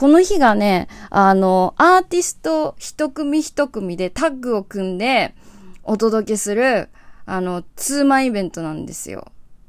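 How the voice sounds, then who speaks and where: In a very clean recording with a silent background, a woman with a fairly high pitch speaks at a fairly slow pace, her pitch swinging very widely and her loudness shifting in big swings. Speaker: singer-songwriter hosting a solo radio show. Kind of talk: casual solo talk show monologue. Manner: relaxed, laid-back.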